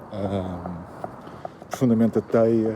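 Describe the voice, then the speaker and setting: A man with a European Portuguese accent at a medium pitch, with noticeable background noise. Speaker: YouTuber commentator. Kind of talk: improvised monologue. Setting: walking the dog, at night. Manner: hesitant, many fillers.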